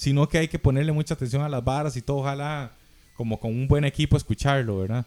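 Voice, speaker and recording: A man with a Costa Rican accent speaks at a very fast pace and fairly high pitch, with fairly even intonation and a dark, mellow tone. The sound is dry and close with no echo, on a very clean recording with a silent background. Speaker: drummer. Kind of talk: casual chat.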